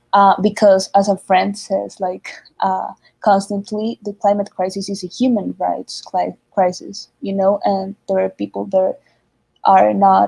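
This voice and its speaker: A woman with a Spanish accent speaks at a moderate pace, the sound dry and close with no echo. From Colombia. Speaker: climate activist. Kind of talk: panel discussion. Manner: halting.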